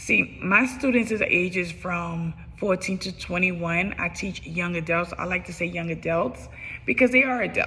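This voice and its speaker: Music is heard in the background. A woman speaks at medium pitch and a moderate pace, with ordinary pitch variation. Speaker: special education teacher. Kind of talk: self-assessment video monologue. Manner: halting, with fillers and restarts.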